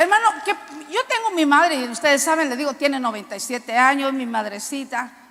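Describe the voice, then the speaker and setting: Very wide pitch swings at a fairly quick pace. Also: woman, high pitch for a woman. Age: 60s. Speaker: preacher. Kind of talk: sermon.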